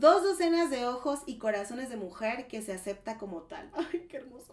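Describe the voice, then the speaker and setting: Animated in tone, a woman with a Mexican accent talks at a fairly slow pace, her high pitch moving through very wide swings. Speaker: podcast host. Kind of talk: casual chat.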